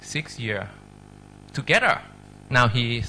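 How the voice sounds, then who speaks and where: A man's medium-pitched voice with a Thai accent, bright and sharp in tone, with vocal fry, at a very slow pace. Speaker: medical professor. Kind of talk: lecture. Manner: halting.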